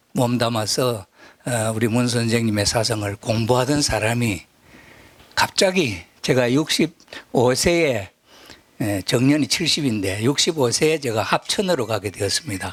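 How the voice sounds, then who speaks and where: At a very slow pace, a man speaks at a medium pitch with lively intonation. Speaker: retired pastor and lecturer on religion. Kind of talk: lecture. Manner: halting, many filler sounds.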